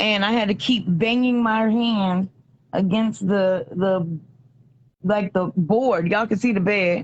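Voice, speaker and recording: Somewhat breathy, a woman speaks at a fairly slow pace and medium pitch, with fairly even intonation and very even loudness. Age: 30s. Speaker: hospital patient. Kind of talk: video call interview. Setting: hospital bed, video call. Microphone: bad reception, dropping out.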